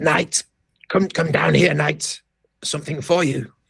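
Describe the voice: Putting on a character voice, a man sounds husky and raspy at a fairly high pitch, speaking at a fairly slow pace.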